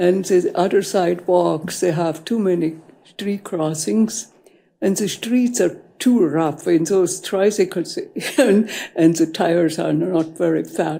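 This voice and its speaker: The voice is dark and mellow with vocal fry, moving at a fairly slow pace. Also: woman, ordinary pitch variation. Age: 80s+. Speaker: public commenter. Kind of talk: public comment at council meeting. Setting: city council chamber. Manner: halting.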